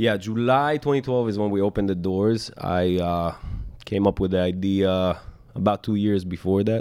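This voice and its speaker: Speaking at a moderate pace, a man has a fairly low pitch and a dark, mellow tone, with ordinary pitch variation and very even loudness. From Israel, Moroccan family. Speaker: chef and restaurant owner. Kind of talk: interview. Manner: halting, many fillers.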